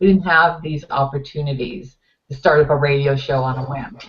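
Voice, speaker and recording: At a middling speed, the somewhat breathy speech shows normal variation in pitch. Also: woman. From US West Coast, Los Angeles area. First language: Finnish. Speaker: talk show co-host. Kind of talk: casual chat. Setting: webcast talk show.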